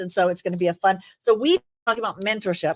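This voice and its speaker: A woman at medium pitch with an animated tone and ordinary pitch variation, talking at a very fast pace, in a very clean, dry, close recording with a silent background and no echo. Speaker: talk show host. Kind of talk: casual chat. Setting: studio with live audience. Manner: loud.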